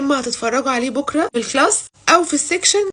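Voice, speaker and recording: Quiet and playful, a woman speaks at a fairly quick pace. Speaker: football vlogger. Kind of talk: casual vlog. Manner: quiet, lowered voice; chatty, playful.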